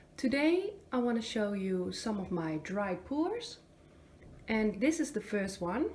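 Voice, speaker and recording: A woman's fairly high-pitched voice with lively intonation, a Dutch accent and a fairly slow pace. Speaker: acrylic pour artist. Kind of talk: casual talk to camera.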